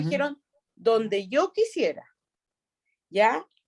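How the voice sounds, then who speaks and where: Lively intonation marks this Chilean accent, heard in a dry, close sound with no echo. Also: woman. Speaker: regional prosecutor. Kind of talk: interview answer.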